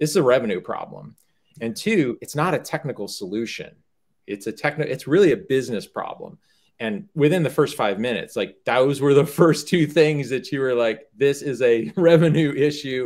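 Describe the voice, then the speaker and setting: With an American accent, a man uses an unremarkable speaking voice, fairly high in pitch and lively in intonation, at a moderate pace on a very clean recording with a silent background. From US South. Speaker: startup cofounder and business executive. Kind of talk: casual conversation.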